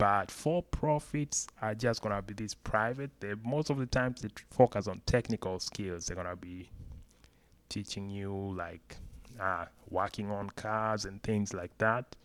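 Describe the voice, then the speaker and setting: At a fairly slow pace, a man talks in a fairly low pitch with ordinary pitch variation and big swings in loudness. The recording is very clean, with a silent background. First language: not English. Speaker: YouTuber. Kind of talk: casual explainer video. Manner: hesitant, with fillers.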